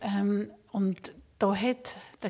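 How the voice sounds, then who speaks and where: A woman's somewhat breathy, dark and mellow voice at a medium pitch. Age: 50s. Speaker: palliative care physician. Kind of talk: interview. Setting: studio.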